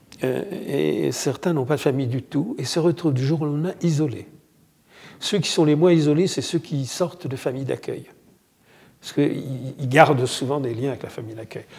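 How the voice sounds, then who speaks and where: A man with a fairly high pitch speaks at a moderate pace, somewhat breathy. His pitch varies in an ordinary way, and he takes long, frequent pauses. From France, Morvan (Burgundy). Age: 70s. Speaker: association founder, volunteer. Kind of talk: interview testimony.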